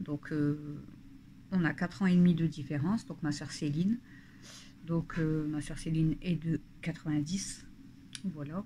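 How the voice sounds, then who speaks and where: A woman with a very deep, low pitch and a dark, mellow tone speaks at a fairly slow pace, somewhat breathy, with long, frequent pauses. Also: fairly even intonation. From northern France (Nord / Pas-de-Calais). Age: 30s. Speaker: family vlogger. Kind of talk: casual talk to camera. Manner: hesitant, many fillers.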